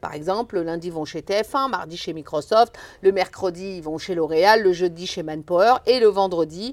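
On a very clean recording with a silent background, a woman with an unremarkable speaking voice, medium pitch, and lively intonation talks at a moderate pace. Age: 50s. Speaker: foundation director, former sports teacher. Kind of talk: interview.

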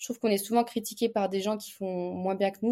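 A woman's medium-pitched voice with a dark, mellow tone and fairly even intonation, on a very clean recording with a silent background. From eastern France, Montbéliard area. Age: 20s. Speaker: fencer and entrepreneur. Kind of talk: casual interview.

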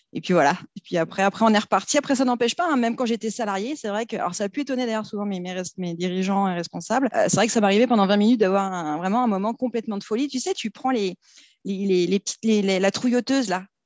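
A woman talks very fast at a medium pitch. Her pitch varies an ordinary amount. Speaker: business owner in debt collection. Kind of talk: casual interview chat. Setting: studio, recorded in person. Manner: animated, laughing often.

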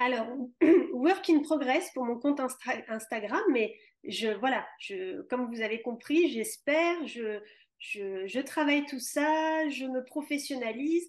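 With lively intonation and a high pitch, a woman delivers her words at a very slow pace. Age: 40s. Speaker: yoga teacher. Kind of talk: interview. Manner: halting.

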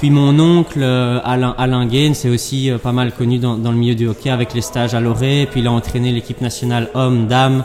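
With hardly any pauses and very even loudness, the speech moves at a fairly quick pace in a monotone, flat intonation over noticeable background noise. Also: man, medium pitch for a man. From Belgium, Brussels area. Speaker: padel player and sports director. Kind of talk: interview. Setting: padel club with training in background.

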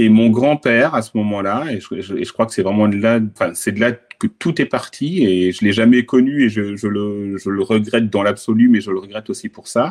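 With hardly any pauses, a man talks at a moderate pace and fairly low pitch with ordinary pitch variation, in a dry, close sound with no echo. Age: 50s. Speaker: podcast guest, digital advertising professional. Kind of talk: interview testimony. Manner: hesitant, many fillers.

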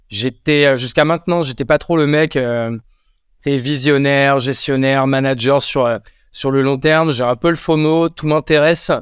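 This man has an ordinary speaking voice, fairly high in pitch, with fairly even intonation and a fairly slow pace. The recording is very clean with a silent background and a dry, close sound with no echo. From France, Champagne-Ardenne countryside. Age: 30s. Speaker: entrepreneur. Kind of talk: casual interview.

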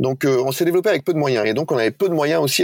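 The sound is close and dry, without any echo. It is a man talking. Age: 40s. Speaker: bank executive. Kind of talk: interview.

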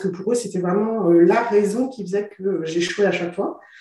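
Moderate pace against noticeable background noise. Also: woman. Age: 40s. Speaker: interviewee sharing her fertility treatment journey. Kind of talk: interview, personal testimony. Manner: hesitant, many fillers and repetitions.

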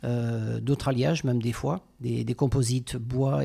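A man speaks at a medium pitch with a dark, mellow tone. His voice is somewhat breathy, and his pitch moves in an ordinary way. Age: 40s. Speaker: pastry chef. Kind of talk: interview.

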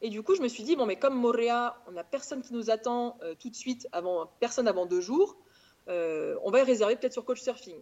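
Fairly quick speech with lively intonation. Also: woman, high pitch for a woman. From France, Auvergne (Clermont-Ferrand). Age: 30s. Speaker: travel blogger. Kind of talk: casual chat.

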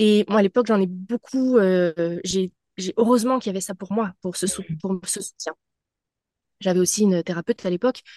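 With a dry, close sound with no echo and a quiet background, a woman speaks at a moderate pace with a medium pitch and ordinary pitch variation. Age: 30s. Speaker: spiritual mentor. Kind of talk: casual interview, personal testimony.

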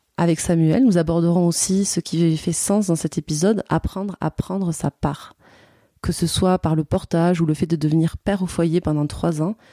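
A woman's fairly low voice with a dark, mellow tone, fairly even intonation and a moderate pace in a dry, close sound with no echo. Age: 30s. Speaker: podcast host. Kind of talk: casual interview; scripted narration.

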